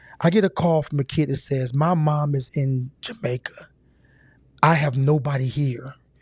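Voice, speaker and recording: A man's fairly high, somewhat breathy voice with an American accent, ordinary pitch variation and a moderate pace, on a very clean recording with a silent background. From Ohio, Cincinnati. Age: 50s. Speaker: youth mentor and event organizer. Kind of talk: podcast interview. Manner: animated.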